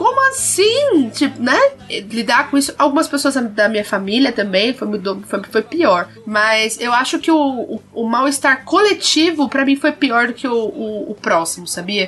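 A high-pitched woman speaks at a fairly slow pace with lively intonation over noticeable background noise. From southern Brazil. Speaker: podcast co-host. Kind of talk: casual chat.

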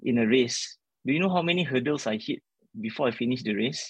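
A man's medium-pitched voice with vocal fry and very wide pitch swings, fairly quick, the sound dry and close with no echo. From Singapore. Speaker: member of parliament and lecturer. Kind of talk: interview. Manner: halting, with repeated words.

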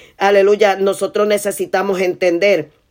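A woman's voice at a medium pitch. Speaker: preacher. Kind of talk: sermon. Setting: online video platform. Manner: rhythmic, repetitive emphasis, often restating key phrases.

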